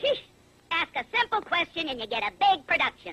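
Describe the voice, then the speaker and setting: A cartoonish character voice at an extremely high pitch, with very wide pitch swings and a fairly quick pace. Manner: brash, wisecracking.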